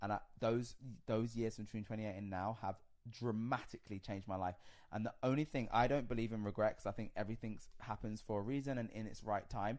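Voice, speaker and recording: In a very clean recording with a silent background, a man talks very fast in a fairly low voice with fairly even intonation. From London. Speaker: reality TV personality. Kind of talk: casual chat.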